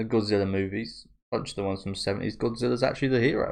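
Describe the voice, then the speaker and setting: A man talks at a very fast pace with a British accent. His pitch is medium. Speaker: anime reaction youtuber. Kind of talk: casual reaction commentary. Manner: talking a bit funny.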